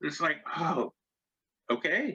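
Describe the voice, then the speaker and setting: Raised and projected, a man's voice rings out with a bright, sharp tone. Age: 60s. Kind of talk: casual chat. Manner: halting.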